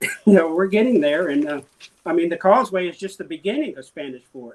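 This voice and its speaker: A man with an Alabama accent, fairly quick pace, high pitch and big swings in loudness. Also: lively intonation. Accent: Southern US (Alabama). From Mobile, Alabama. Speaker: city council candidate. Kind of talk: interview answer.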